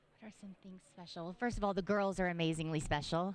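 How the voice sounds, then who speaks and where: A woman speaks with an American accent at a medium pitch. The recording is very clean, with a silent background. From Texas. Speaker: high school basketball coach. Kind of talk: media interview. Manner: loud.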